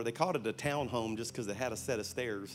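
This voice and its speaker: A man talks in a Louisiana accent at a very fast pace. Audible room echo surrounds his voice. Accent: Southern US (Louisiana). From South Louisiana. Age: 50s. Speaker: pastor. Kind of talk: sermon. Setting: church stage with audience. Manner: animated.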